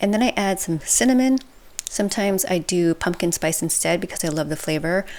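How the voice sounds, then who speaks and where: A woman speaks in a fairly low pitch with lively intonation. Noticeable background noise runs underneath. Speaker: lifestyle vlogger. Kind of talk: cooking tutorial voice-over.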